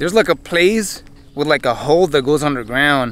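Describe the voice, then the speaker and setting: A man at a fairly quick pace in a dry sound with no echo. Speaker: explorer vlogger. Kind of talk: casual vlog chat. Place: open country. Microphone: phone near.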